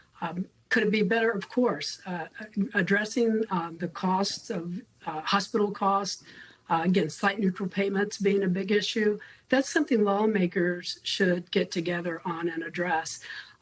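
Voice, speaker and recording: Ordinary pitch variation in a normal speaking voice, kept to a moderate pace. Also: woman, medium pitch for a woman. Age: 60s. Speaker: health care advocate. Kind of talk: news interview.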